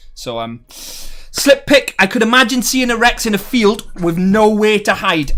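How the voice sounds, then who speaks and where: A man speaks at a moderate pace in a high voice, his tone bright and sharp and his delivery animated. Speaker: gaming streamer. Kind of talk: live stream chat. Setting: live stream.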